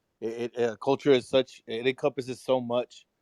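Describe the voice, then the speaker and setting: With a Texan accent, the speaker moves at a moderate pace in a very clean recording with a silent background and a dry, close sound with no echo. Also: man. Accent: Texan American English. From Texas, San Antonio. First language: Spanish. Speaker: discussion co-leader. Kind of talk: casual chat. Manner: halting.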